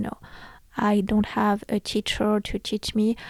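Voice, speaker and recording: On a very clean recording with a silent background, a woman with a non-native accent and medium pitch speaks at a fairly slow pace. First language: not English. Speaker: podcast host. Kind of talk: casual solo podcast talk. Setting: home recording, room lit by red lamp.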